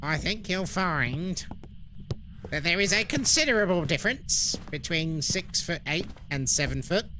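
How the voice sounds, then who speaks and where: Putting on a pompous character voice, a man talks at a high pitch and a moderate pace with very even loudness over clear background noise. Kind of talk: formal, precise. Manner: mocking, pedantic, pompous.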